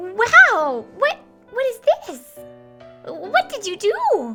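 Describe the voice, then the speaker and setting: Over faint background music, a woman in a put-on character voice speaks extremely high and very slowly, her pitch swinging very widely. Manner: fake excited and surprised.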